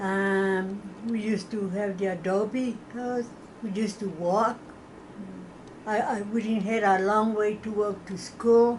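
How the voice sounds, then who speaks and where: A woman speaks fairly slowly in a monotone, flat delivery with an American accent, amid noticeable background noise and audible room echo. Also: medium pitch for a woman. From Texas, San Elizario near El Paso. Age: 80s+. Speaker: oral history interviewee. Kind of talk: oral history interview. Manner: halting.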